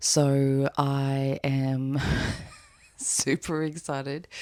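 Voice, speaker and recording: A woman's very deep, low voice with an Australian accent. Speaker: knitwear designer vlogger. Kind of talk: casual vlog narration.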